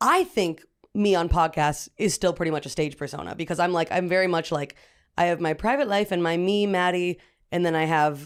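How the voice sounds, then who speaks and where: In a very clean recording with a silent background, a woman talks in an ordinary speaking voice, fairly low in pitch, with ordinary pitch variation and a fairly quick pace. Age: 20s. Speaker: comedian. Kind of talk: casual chat.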